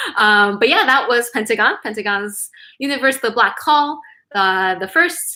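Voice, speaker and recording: Her voice is fairly high-pitched with a bright, sharp tone. The woman's pitch swings very widely. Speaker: K-pop chart show host. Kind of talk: live stream chart countdown. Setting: live stream. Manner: casual, filler-heavy.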